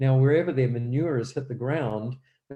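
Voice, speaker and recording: A man with a New Zealand accent, medium pitch, ordinary pitch variation, a dark, mellow tone, somewhat breathy delivery, and a quiet background. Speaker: guest speaker on health and gardening. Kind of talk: church presentation. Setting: live-streamed church event. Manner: hesitant, many fillers.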